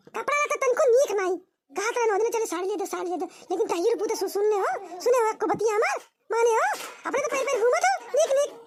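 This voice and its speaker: In a cartoonish character voice, a woman talks at a very fast pace with an extremely high pitch. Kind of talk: rustic comic cartoon sketch. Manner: loud, argumentative.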